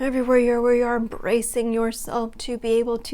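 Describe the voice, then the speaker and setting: Her voice is fairly high for a woman, with a dark, mellow tone. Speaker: meditation guide. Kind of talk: guided relaxation. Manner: slow, soft-spoken.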